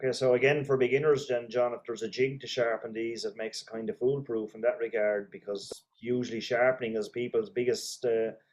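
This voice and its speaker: Speaking at a fairly quick pace with hardly any pauses, a man with an Irish accent keeps a medium pitch and fairly even intonation. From Ireland. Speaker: interview host. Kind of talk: interview.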